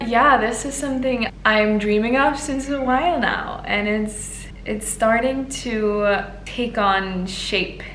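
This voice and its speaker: With audible room echo and noticeable background noise, a woman speaks very slowly at a fairly high pitch and ordinary pitch variation. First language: not English. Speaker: vlogger and aspiring yoga teacher. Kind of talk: casual vlog talk.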